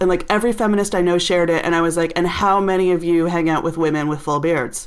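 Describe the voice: A woman's fairly low voice at a fast pace, with ordinary pitch variation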